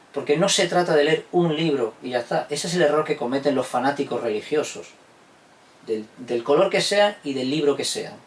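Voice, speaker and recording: A man talks at a fairly high pitch with ordinary pitch variation. Noticeable background noise is present. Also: moderate pace. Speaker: historian and teacher. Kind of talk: interview answer.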